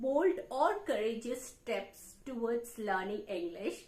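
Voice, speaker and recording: Amid audible room echo, a woman speaks very slowly at a high pitch, with very wide pitch swings. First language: Indian language, not English. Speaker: English speaking teacher. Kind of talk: tutorial.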